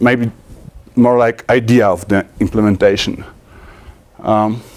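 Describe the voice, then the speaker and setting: Speaking very slowly with a Polish accent, a man keeps a medium pitch and fairly even intonation. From Poland. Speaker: conference speaker, programmer. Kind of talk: technical conference talk. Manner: halting, many fillers and restarts.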